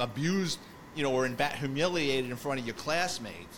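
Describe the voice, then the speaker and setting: This man speaks with a New York accent in a fairly high pitch, and his pitch varies in an ordinary way. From New York City, the Bronx. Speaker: retired police detective, podcast host. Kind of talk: casual interview chat.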